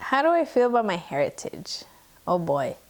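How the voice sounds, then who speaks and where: A woman with a Spanish accent talks at a fairly slow pace on a very clean recording with a silent background. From US, raised by Mexican immigrants. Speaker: student. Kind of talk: personal testimony interview.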